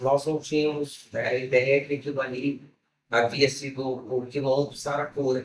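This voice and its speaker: A man's fairly high pitch in a monotone, flat intonation. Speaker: samba school old guard member. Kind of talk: testimony.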